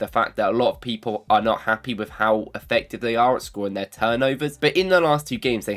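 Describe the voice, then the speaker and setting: Here a man talks with a British accent. His pitch is medium and his pace very fast. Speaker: football analysis youtuber. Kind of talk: casual talk to camera.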